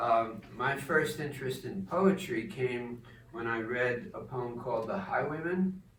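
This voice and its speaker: A man with an American accent speaks at a fairly slow pace with lively intonation. Audible room echo and noticeable background noise come through on the recording. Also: medium pitch for a man. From New Jersey. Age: 70s. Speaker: poet and retired English teacher. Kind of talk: informal talk with poetry reading. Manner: halting, many fillers.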